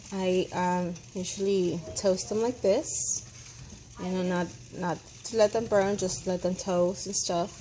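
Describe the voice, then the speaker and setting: A woman with a Spanish accent, medium pitch and ordinary pitch variation, at a very slow pace over noticeable background noise. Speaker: home cook. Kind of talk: tutorial. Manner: casual, hesitant with fillers.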